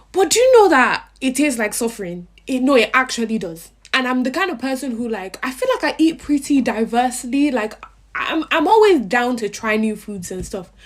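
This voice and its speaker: A woman's high-pitched voice is heard over noticeable background noise. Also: lively intonation, fairly quick pace. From Africa. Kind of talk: casual vlog.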